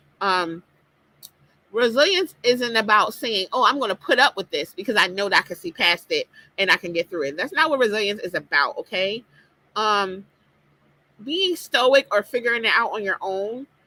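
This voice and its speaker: A woman with a fairly high, bright and sharp voice speaks at a moderate pace with very wide pitch swings, in a dry, close sound with no echo. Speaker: life coach and podcaster. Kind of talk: motivational talk. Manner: casual with fillers.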